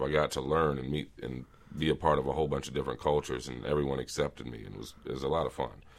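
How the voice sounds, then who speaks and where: A man's very deep, low voice with vocal fry, fairly even intonation and a very fast pace. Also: big swings in loudness. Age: 30s. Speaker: sales account executive. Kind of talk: casual chat.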